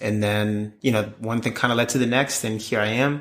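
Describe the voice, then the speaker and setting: A man with an American accent and a bright, sharp tone speaks on a very clean recording with a silent background. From Maryland, US. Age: 20s. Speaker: singer-songwriter. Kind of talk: interview. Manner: halting.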